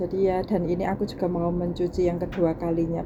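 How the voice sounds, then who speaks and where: A soft-spoken woman at medium pitch, monotone and flat in intonation, at a moderate pace amid noticeable background noise. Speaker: domestic worker vlogger. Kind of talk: casual vlog talk. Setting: laundry area at employer's home.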